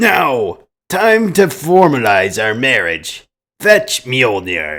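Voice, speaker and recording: A man puts on a raspy character voice of medium pitch with very wide pitch swings. He speaks very slowly on a very clean recording with a silent background. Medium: read story. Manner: booming.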